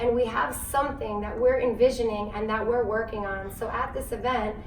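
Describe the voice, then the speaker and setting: Speaking with an American accent, a woman uses a high pitch and ordinary pitch variation at a moderate pace, with noticeable background noise and audible room echo. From US, New Jersey. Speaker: business founder, community leader. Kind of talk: interview.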